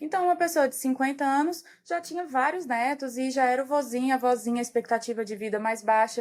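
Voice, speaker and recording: Speaking at a fairly quick pace with hardly any pauses, a woman uses a high-pitched voice. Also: ordinary pitch variation. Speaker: geriatrician. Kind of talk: podcast interview.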